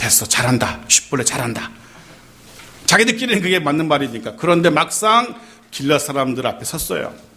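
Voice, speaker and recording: With audible room echo and noticeable background noise, a man with a fairly high voice speaks at a fairly quick pace, his pitch swinging very widely. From Seoul (born in Gyeongsang region). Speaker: pastor. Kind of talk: sermon.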